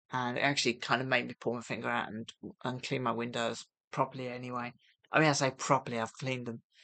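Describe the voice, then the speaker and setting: A very fast, monotone, flat woman's voice with a British accent, very deep and low in pitch, bright and sharp in tone, against a quiet background. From UK. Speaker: vlogger on gambling recovery. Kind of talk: casual vlog monologue. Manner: hesitant, many fillers; soft-spoken.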